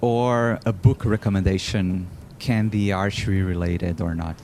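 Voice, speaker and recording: Background noise is noticeable. A man's voice comes through it. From Brazil. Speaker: podcast host, Olympic archer. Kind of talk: podcast interview.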